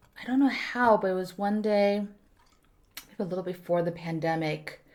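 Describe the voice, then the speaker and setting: With a Korean accent, this woman's medium-pitched voice has a dark, mellow tone and ordinary pitch variation. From South Korea, Busan. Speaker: actor, writer and stand-up comedian. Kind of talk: casual podcast interview. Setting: studio room.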